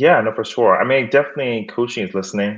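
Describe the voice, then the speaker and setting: A man with an American accent talks in a quiet background. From Miami, Florida. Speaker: career coach and executive recruiter. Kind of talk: podcast interview.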